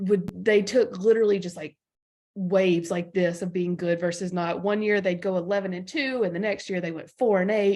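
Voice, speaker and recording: A woman speaks at a moderate pace with a slight Southern US accent. Her medium-pitched voice has a dark, mellow tone and fairly even intonation. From Alabama, US South. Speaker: sports journalist. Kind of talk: podcast interview.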